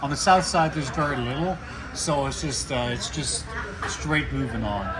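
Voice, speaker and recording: Audible room echo and noticeable background noise both come through in the recording. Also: man, moderate pace. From western Canada, Vancouver. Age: 60s. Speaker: expat cyclist. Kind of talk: casual outdoor interview.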